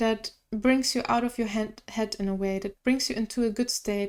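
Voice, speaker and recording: A woman is talking in a fairly high voice. Her intonation stays fairly even. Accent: non-native. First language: not English. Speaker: tarot reader. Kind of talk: tarot reading. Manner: halting.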